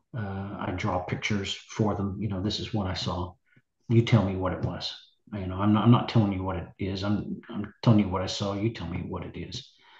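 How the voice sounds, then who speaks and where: Speaking with an American accent, a man uses a fairly low, somewhat breathy voice with fairly even intonation. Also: long, frequent pauses, big swings in loudness. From US South, Nashville, Tennessee. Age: 60s. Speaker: musician. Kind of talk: interview. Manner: halting.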